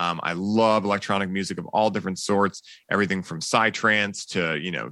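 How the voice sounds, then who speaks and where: A man speaks in an American accent with a bright, sharp tone, fairly even intonation and a fairly quick pace. The recording is very clean, with a silent background. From Boston, Massachusetts. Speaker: cannabis coach and podcast host. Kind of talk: casual interview chat.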